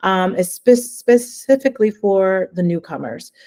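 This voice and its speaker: A woman with a New Jersey accent speaks with lively intonation in a dry, close sound with no echo. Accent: New Jersey American. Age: 40s. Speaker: language education consultant. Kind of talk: webinar presentation.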